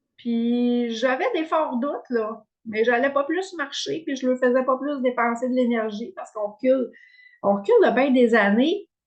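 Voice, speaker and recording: At a fairly slow pace, the speaker uses lively intonation in a Quebec accent. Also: woman, high pitch for a woman. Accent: Québécois French. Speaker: wellness coach. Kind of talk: online workshop presentation. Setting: video call with screen share. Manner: hesitant, many fillers.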